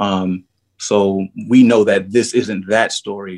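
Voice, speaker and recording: With a New York accent, a man talks at a fairly low pitch, the sound dry and close with no echo and the recording very clean over a silent background. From New York City, Harlem. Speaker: actor. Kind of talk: interview.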